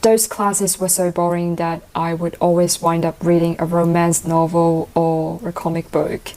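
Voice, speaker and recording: Fairly low in pitch, a woman speaks at a moderate pace with hardly any pauses. Her intonation is monotone and flat. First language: Cantonese and Mandarin. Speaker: IELTS test taker. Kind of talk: mock speaking exam interview.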